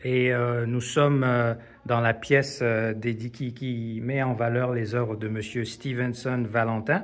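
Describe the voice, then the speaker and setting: At a fairly slow pace, a man keeps fairly even intonation at a medium pitch. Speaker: video reporter touring exhibition. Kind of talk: casual interview. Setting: art exhibition in a museum. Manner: whispering.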